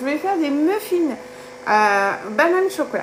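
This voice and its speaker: A woman with a southern French accent speaks at a moderate pace in a high voice with very wide pitch swings. Noticeable background noise runs underneath. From southern France, Gard. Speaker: cooking live streamer, kitchen appliance demonstrator. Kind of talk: live cooking stream. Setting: at home. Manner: casual, chatty.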